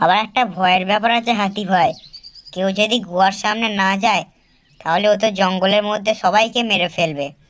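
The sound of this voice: A female-sounding cartoonish character voice at a medium pitch, delivered at a moderate pace, carries the clip.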